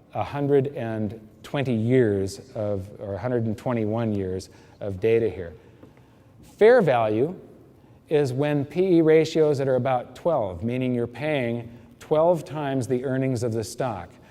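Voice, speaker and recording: The speech moves at a fairly slow pace with ordinary pitch variation. Room echo is audible. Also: man, medium pitch for a man. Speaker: investment speaker. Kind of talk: presentation to live audience.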